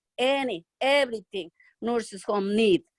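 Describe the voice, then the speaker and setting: In a Spanish accent, a woman with a fairly high pitch speaks at a moderate pace, the sound dry and close with no echo. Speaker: nursing home worker. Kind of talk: testimony. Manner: halting.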